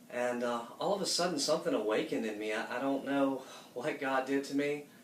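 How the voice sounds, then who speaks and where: Fairly high in pitch, a man with an American accent talks fairly quickly with ordinary pitch variation. Audible room echo and noticeable background noise are present. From US South, Marietta, Georgia. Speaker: church member giving testimony. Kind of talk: testimony.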